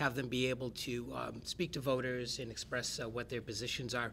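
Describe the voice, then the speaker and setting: The man talks at a fairly quick pace in a bright, sharp tone. Light background noise sits underneath. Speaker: event facilitator. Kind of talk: event introduction. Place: meeting room.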